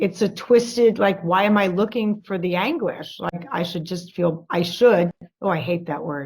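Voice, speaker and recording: Somewhat breathy, a woman speaks at a fairly slow pace, her medium pitch showing ordinary variation. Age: 60s. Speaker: workshop participant. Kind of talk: coaching session. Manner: halting.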